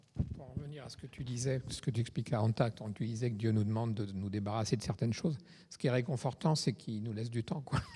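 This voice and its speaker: At a very fast pace, a man with a medium pitch and a dark, mellow tone sounds somewhat breathy, his pitch varying in an ordinary way. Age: 70s. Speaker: congregation member. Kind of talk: casual group discussion.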